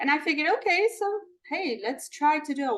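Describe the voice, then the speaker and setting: A woman with a Polish accent speaks with lively intonation. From Poland. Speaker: balloon artist and business owner. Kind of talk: interview. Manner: halting, with fillers.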